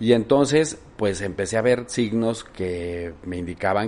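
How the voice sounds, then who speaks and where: A man speaks in a plain, everyday voice, fairly low in pitch with ordinary pitch variation. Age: 50s. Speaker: politician. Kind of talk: interview.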